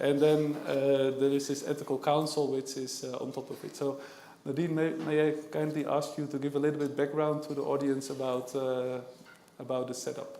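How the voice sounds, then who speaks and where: With a Dutch accent and monotone, flat intonation, the speaker keeps a moderate pace amid audible room echo and noticeable background noise. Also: man, fairly high pitch for a man. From Netherlands. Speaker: panel moderator, index sales manager. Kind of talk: panel moderation at a conference. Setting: conference stage with audience. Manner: hesitant, many filler sounds.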